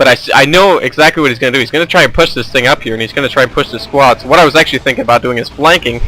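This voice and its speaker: Over noticeable background noise, a man talks at a very fast pace in a fairly high pitch. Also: ordinary pitch variation, hardly any pauses. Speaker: gaming commentator. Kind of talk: gameplay commentary. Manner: casual, with filler words.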